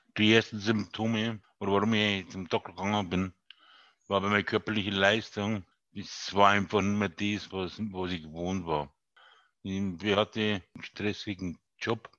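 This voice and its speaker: Against a quiet background, a man with a bright, sharp tone speaks at a fairly low pitch and a fairly slow pace, in a monotone, flat delivery with long, frequent pauses. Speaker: Parkinson's patient and podcaster. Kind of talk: interview.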